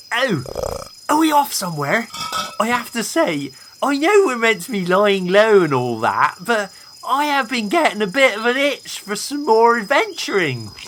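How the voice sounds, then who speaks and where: A put-on character voice with fairly high pitch. It moves at a moderate pace over light background noise. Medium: audio drama. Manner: enthusiastic, chatty.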